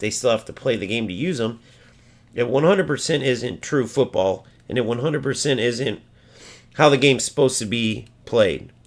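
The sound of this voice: Using a raspy, put-on character voice, a man speaks at a moderate pace and medium pitch with ordinary pitch variation.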